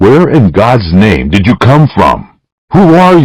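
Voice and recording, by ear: With quiet all around, a natural voice reads aloud.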